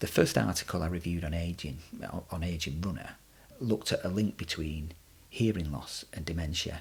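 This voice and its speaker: A man with an English accent speaks at a very deep, low pitch. Vocal fry runs through his voice. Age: middle-aged. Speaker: podcast host and runner. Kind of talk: podcast monologue. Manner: halting.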